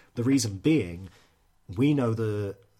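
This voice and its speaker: In a very clean recording with a silent background, a man speaks in a somewhat breathy voice with ordinary pitch variation. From Scotland, Edinburgh. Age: 30s. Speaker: music magazine creative director. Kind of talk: interview.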